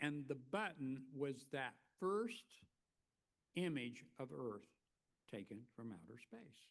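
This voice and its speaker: Speaking in an Oklahoma accent, a man at a medium pitch talks at a very slow pace with long, frequent pauses and very wide pitch swings. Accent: Oklahoma twang. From US, northeastern Oklahoma. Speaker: keynote speaker, former college educator. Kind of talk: plenary lecture with storytelling. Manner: conversational, many fillers.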